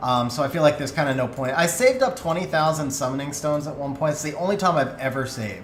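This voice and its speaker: A man's fairly high voice at a very fast pace with hardly any pauses and ordinary pitch variation, with audible room echo and noticeable background noise. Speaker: video game streamer. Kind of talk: live stream chat. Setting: live stream.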